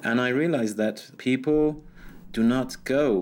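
In a Persian accent, a man talks at a very slow pace. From Iran. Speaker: blogger and journalist. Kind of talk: interview.

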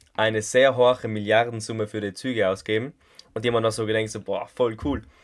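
A man speaks with a South Tyrolean accent at a medium pitch. His intonation stays monotone and flat. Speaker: podcast co-host. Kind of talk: casual chat.

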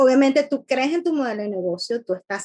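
A woman talks in a high pitch. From Venezuela. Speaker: podcast co-host, business coach. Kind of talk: interview; scripted introduction.

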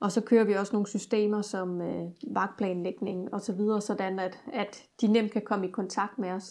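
A woman at a medium pitch and fairly slow pace, with monotone, flat intonation against a quiet background. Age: 40s. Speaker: student house manager. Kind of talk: interview. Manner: hesitant with many fillers.

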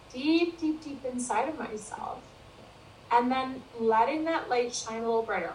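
There is audible room echo around this woman's voice. Her pitch is high and her intonation lively. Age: 50s. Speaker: wellbeing and leadership consultant. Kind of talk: interview.

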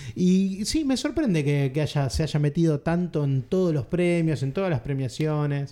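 A man's fairly high voice at a fairly slow pace, very even in loudness, with noticeable background noise. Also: ordinary pitch variation, hardly any pauses. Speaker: film podcast host. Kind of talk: casual chat.

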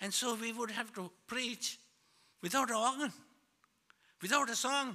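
A man with a high pitch and a bright, sharp tone speaks in a raised, projected voice at a moderate pace. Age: 70s. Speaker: pastor. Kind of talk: sermon. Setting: church. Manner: halting, repeats words.

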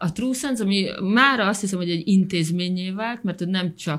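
On a very clean recording with a silent background, a woman with an unremarkable speaking voice talks at a medium pitch and a fairly slow pace, with ordinary pitch variation. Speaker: podcast co-host. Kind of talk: interview. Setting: studio.

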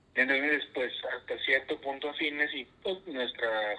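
A man speaks at a very slow pace. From northern Mexico, Coahuila. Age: 30s. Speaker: religious brother. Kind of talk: casual interview. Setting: remote call from home.

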